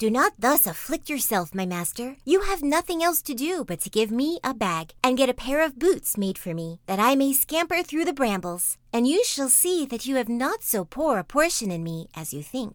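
Putting on a character voice, a woman speaks at a moderate pace in a high pitch with very wide pitch swings and hardly any pauses, on a very clean recording with a silent background. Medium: read story. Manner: polite, courtly.

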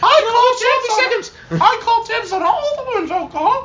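This put-on character voice is squeaky and extremely high in pitch. It moves at a very slow pace over light background noise. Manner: exaggerated, cartoonish.

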